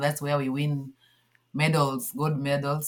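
A woman speaking at a moderate pace. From Kenya, Nyanza. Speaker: athlete and sports federation founder. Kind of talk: interview.

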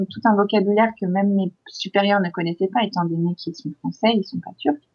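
A woman talks in a somewhat breathy voice of medium pitch. Her intonation stays fairly even. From France. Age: 30s. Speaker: expatriate in Turkey. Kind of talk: interview.

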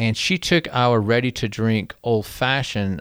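In a very clean recording with a silent background, a man of medium pitch speaks with a North Carolina accent. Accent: Southern US (North Carolina). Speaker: beverage company CEO. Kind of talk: casual chat. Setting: studio.

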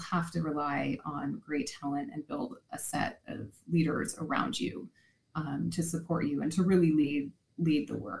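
This woman speaks at a fairly low pitch. Vocal fry runs through her voice. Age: 40s. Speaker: marketing executive and children's author. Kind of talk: interview.

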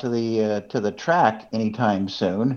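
A man with a plain, everyday voice speaks at a fairly slow pace. His pitch shows ordinary variation. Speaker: guest co-host, auto industry communications director. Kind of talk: casual radio conversation.

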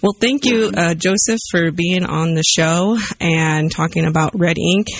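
A woman with a fairly low pitch and a normal speaking voice talks at a moderate pace with ordinary pitch variation. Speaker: radio host. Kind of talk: radio interview, host banter. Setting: radio studio.

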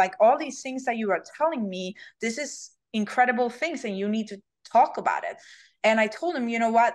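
A woman with a Swedish accent talks at a fairly quick pace in a fairly high pitch. Her pitch varies in an ordinary way, and the background is quiet. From Sweden. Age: 30s. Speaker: bikini champion and influencer. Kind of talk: casual interview chat. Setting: video call.

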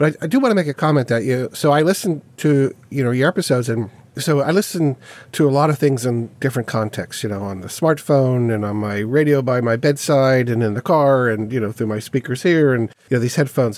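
Speaking at a fairly quick pace, a man has a plain, everyday voice at a medium pitch. The recording is very clean with a silent background. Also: ordinary pitch variation. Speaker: podcast host. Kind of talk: casual podcast interview. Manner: chatty, easygoing.

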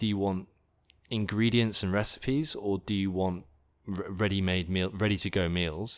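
A man with an English accent speaks at a moderate pace in a fairly low voice, recorded very cleanly against a silent background. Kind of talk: interview.

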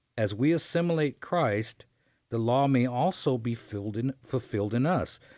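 Over a silent background in a very clean recording, a man speaks fairly slowly at a medium pitch with a dark, mellow tone and lively intonation. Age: 60s. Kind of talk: faith-based radio talk. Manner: halting.

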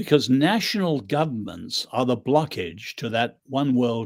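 On a very clean recording with a silent background, a man with an English accent speaks at a moderate pace with ordinary pitch variation. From England. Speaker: author and social critic. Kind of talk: interview.

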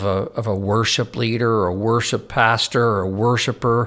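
Fairly slow in pace, a man with an ordinary speaking voice talks at a fairly low pitch with fairly even intonation. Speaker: worship pastor, co-host. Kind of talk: casual conversation.

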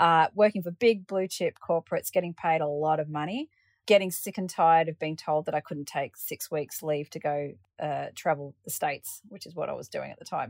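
A woman speaks with an Australian accent and ordinary pitch variation. The sound is dry and close with no echo, in a very clean recording with a silent background. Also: fairly low pitch for a woman, fairly quick pace, big swings in loudness. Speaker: paraglider pilot. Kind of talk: interview.

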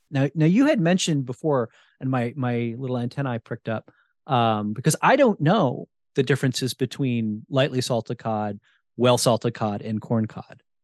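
An unremarkable speaking voice moves at a moderate pace with ordinary pitch variation, in a dry, close sound with no echo. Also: man, medium pitch for a man. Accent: American. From New Jersey. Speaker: podcast host and wild food cook. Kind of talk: casual interview chat.

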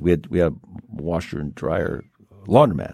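This man's voice has vocal fry. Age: 70s. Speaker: radio host. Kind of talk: casual chat. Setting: studio.

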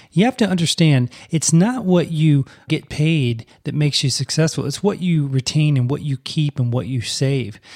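In an American accent, a man with a fairly high pitch sounds somewhat breathy. The sound is dry and close, with no echo. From US South. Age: 40s. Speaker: podcast host, speech-language pathologist. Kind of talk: casual solo podcast monologue.

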